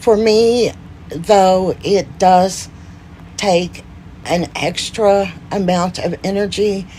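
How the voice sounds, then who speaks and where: Over noticeable background noise, a woman of medium pitch talks very slowly with ordinary pitch variation. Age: 50s. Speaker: Parkinson's disease advocate. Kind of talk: casual talk to camera.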